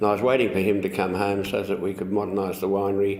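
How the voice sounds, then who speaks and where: A man with an Australian accent speaks at a fairly low pitch. There is audible echo in the room. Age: 80s+. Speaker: winery founder. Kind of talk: oral history interview. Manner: halting.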